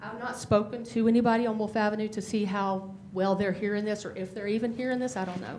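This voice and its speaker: Amid noticeable background noise and audible room echo, a woman with a fairly high pitch talks at a very fast pace and with fairly even intonation. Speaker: resident speaking at public comment. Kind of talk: public comment at town council meeting. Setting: town council meeting room.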